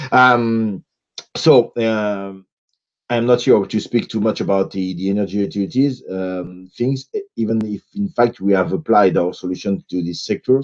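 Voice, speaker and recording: A man speaks at a moderate pace with a strong French accent and ordinary pitch variation. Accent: French, self-described as strong. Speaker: consultant, panelist. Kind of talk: conference panel presentation. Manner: halting, many fillers.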